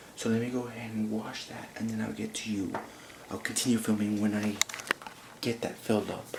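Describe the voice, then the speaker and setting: A man's medium-pitched, fairly quick, monotone and flat delivery broken by long, frequent pauses, with audible room echo and noticeable background noise. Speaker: vlogger. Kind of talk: casual vlog narration. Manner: hushed, trying to be quiet.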